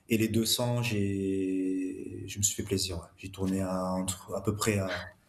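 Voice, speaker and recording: Speaking very slowly with a monotone, flat delivery, a man's very deep, low voice carries audible room echo. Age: 50s. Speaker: amateur marathon runner. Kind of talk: casual chat. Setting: studio.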